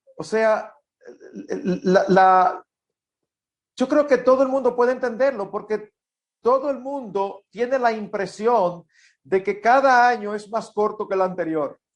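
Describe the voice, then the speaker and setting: A man speaks at a high pitch against a quiet background. He leaves long, frequent pauses. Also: ordinary pitch variation, fairly slow pace. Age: 60s. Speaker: pastor. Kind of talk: conversational interview.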